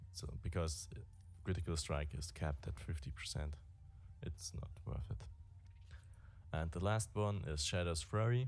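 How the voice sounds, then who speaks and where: Speaking with a non-native accent and vocal fry, the voice moves at a moderate pace with lively intonation and long, frequent pauses. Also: man, very deep, low pitch for a man. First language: not English. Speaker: gaming streamer. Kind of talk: game guide tutorial. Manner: halting.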